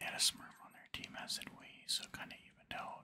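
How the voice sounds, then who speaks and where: A soft-spoken man whispers at a fairly quick pace over noticeable background noise. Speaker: gaming streamer. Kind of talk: casual gameplay commentary. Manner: soft ASMR whisper, close mic. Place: home room.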